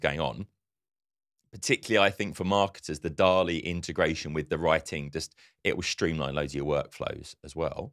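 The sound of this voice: A man talks at a fairly quick pace in an extremely low pitch, with a fairly bright tone and ordinary pitch variation. The recording is very clean, with a silent background.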